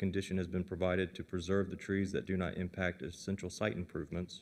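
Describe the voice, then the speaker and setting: This man talks fairly quickly in a very deep, low voice. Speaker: county planning staff. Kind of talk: staff report presentation. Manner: formal. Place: meeting room.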